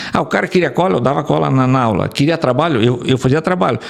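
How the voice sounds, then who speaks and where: The voice rushes at a very fast pace with ordinary pitch variation over noticeable background noise. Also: man. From Rio Grande do Sul, Brazil (Rondinha). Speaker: engineer, urban mobility specialist. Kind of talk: interview. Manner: halting, many repetitions.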